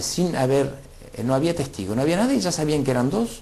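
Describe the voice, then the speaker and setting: Audible room echo carries a fairly quick pace and lively intonation. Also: man. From Argentina, Rafaela (Santa Fe). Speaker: former political exile. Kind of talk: interview testimony. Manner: halting, many fillers.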